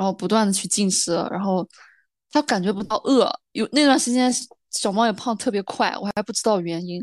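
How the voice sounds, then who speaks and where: A woman talks at a fairly quick pace in a normal speaking voice, with ordinary pitch variation and a dry, close sound with no echo. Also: medium pitch for a woman, quiet background. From rural China. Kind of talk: casual chat.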